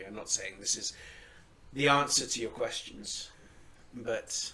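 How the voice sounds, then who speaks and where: A man performs in a put-on character voice that is raspy. He goes at a fairly slow pace with big swings in loudness. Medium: actual play. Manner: measured, dry.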